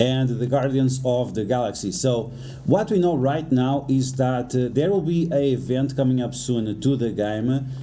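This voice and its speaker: A man speaks at a medium pitch and a moderate pace, with ordinary pitch variation. There is audible room echo and noticeable background noise. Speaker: gaming YouTuber. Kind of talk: game guide commentary. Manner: stuttering today; hesitant with frequent fillers.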